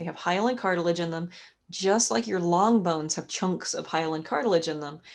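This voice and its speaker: Her tone animated, a woman speaks at a moderate pace. Her pitch is medium with ordinary variation. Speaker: anatomy instructor. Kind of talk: online lecture. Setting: live video class.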